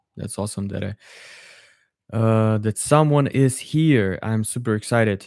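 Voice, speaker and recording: At a moderate pace, a man with a Russian accent speaks with long, frequent pauses. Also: medium pitch for a man, ordinary pitch variation. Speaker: polyglot streamer. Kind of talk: live stream Q&A. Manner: halting.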